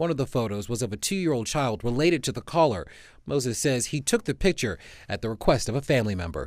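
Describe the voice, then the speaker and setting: On a very clean recording with a silent background, a man talks at a very fast pace at medium pitch, with vocal fry and very wide pitch swings. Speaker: TV news reporter and anchor. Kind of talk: TV news reporter stand-up and package narration.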